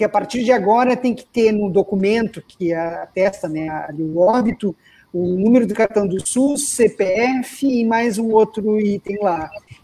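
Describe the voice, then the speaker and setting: A man's high, dark and mellow voice at a fairly slow pace, with hardly any pauses. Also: ordinary pitch variation. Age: 40s. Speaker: web show host. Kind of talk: panel discussion on live web show.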